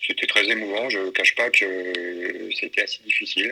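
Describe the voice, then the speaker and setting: The man's delivery moves at a moderate speed. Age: 60s. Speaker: war photojournalist. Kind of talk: interview. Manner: halting.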